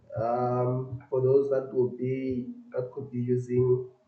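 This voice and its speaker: A man at a medium pitch is heard with audible room echo. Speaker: coding tutor / software developer. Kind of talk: live-stream coding tutorial. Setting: live stream. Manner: loud; halting.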